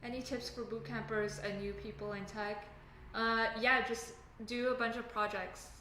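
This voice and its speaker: A woman's fairly high voice with a slight Canadian accent and fairly even intonation, amid noticeable background noise and audible room echo. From Canada. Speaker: software engineer live streamer. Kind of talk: casual live stream chat. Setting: live stream at home desk. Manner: casual, halting with fillers.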